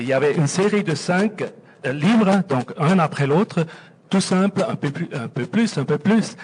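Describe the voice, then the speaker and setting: A man speaks with lively intonation at a fairly slow pace. His pitch is high. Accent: Swiss German. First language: Swiss German (speaking French). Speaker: audience member. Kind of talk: audience question.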